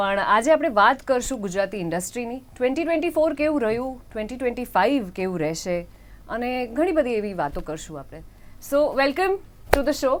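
Very wide pitch swings and big swings in loudness mark this voice with a Hindi accent. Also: woman, high pitch for a woman. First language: Hindi (speaking Gujarati). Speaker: film actress presenting the show. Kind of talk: interview host.

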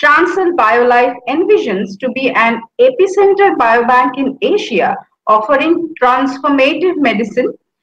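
Through audible room echo over a quiet background, a woman speaks at a high pitch. Her pace is fairly slow. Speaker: show host. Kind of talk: interview show introduction. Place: home room. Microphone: webcam.

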